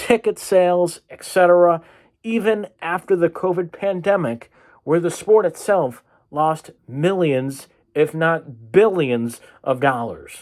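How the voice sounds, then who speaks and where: The recording is very clean, with a silent background. The speech comes at a very slow pace. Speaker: sports podcast host. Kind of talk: solo sports podcast commentary. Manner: animated.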